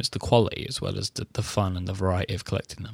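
A man is speaking. He talks at a very fast pace. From UK. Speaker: podcast host.

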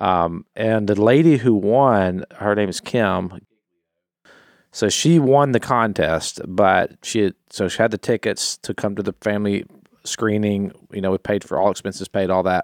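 Over a very clean recording with a silent background, a man with a plain, everyday voice and fairly low pitch speaks at a fairly slow pace with ordinary pitch variation. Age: 40s. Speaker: podcast contributor. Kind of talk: casual chat.

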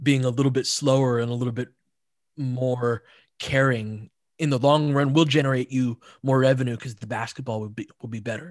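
Over a very clean recording with a silent background, a man with an ordinary speaking voice talks at a fairly quick pace, his medium pitch carried by fairly even intonation. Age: 40s. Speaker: basketball analyst. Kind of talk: casual chat.

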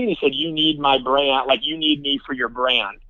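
A normal speaking voice from a man, fairly high in pitch and fairly quick in pace. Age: 30s. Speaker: strength and conditioning coach. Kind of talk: casual interview.

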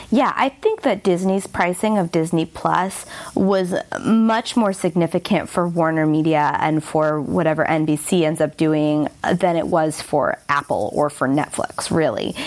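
Speaking at a fairly slow pace, a woman uses an ordinary speaking voice, fairly low in pitch, with ordinary pitch variation and very even loudness. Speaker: guest media industry commentator. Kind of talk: casual interview-style discussion of media news.

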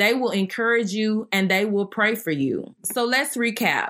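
Fairly slow and fairly high-pitched, a woman with a Southern US accent speaks in a bright, sharp tone in a very clean recording with a silent background. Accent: Southern US, country twang. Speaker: faith podcast host. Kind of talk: devotional teaching monologue. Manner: not a loud hoop-and-holler preacher.

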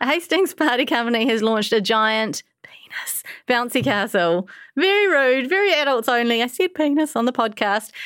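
In a New Zealand accent, a woman speaks at a moderate pace with a high pitch. Her pitch swings very widely. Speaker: podcast host. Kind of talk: casual chat. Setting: studio.

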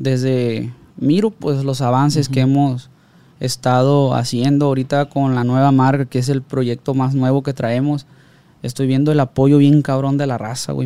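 This is a man with a fairly high-pitched voice and a dark, mellow tone. He talks at a moderate pace. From Sinaloa, Mexico (Ruiz Cortines, Los Mochis area). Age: 30s. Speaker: music producer. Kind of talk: casual chat. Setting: studio.

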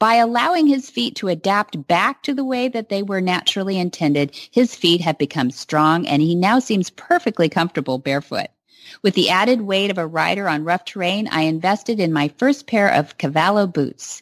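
A woman's plain, everyday voice with an American accent, at a medium pitch and moderate pace, with lively intonation and hardly any pauses, in a dry, close sound with no echo and a quiet background. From California. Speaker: radio host. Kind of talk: interview.

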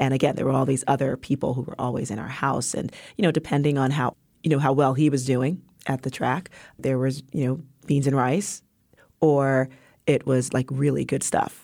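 Speaking at a moderate pace with an American accent, a woman has a very deep, low pitch and a dark, mellow tone. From New York, South Bronx. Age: 40s. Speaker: entrepreneur and community developer. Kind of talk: interview. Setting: studio. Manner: animated.

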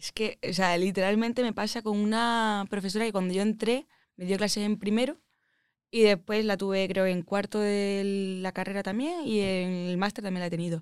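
In a very clean recording with a silent background, a woman with an Andalusian accent speaks at a moderate pace, her medium pitch and intonation fairly even. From Andalusia, Málaga. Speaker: aeronautical engineer. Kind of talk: casual interview chat.

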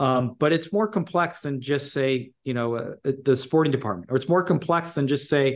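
A man talks at a fairly quick pace in an ordinary speaking voice. His pitch is fairly high, with ordinary variation. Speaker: soccer club executive and former player. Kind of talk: casual interview.

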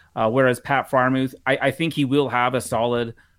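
Talking at a fairly quick pace, a man is heard in a very clean recording with a silent background. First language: not English. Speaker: football analyst. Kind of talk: casual chat.

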